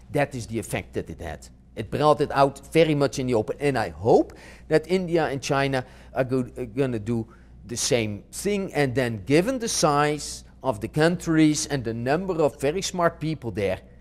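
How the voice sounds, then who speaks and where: The speaker talks at a moderate pace in a Dutch accent with lively intonation. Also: man, fairly high pitch for a man. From Netherlands. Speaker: marketing professor. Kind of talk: interview. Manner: halting, frequent self-corrections.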